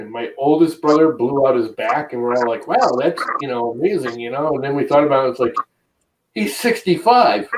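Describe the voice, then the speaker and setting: This man has a normal speaking voice with a fairly high pitch. He talks at a moderate pace with lively intonation. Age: 50s. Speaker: streamer. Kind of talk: casual chat.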